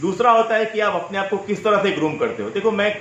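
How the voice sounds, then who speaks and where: Noticeable background noise and audible room echo around a man talking at a moderate pace. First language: Marathi (speaking Hindi). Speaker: personal branding coach. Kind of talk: interview.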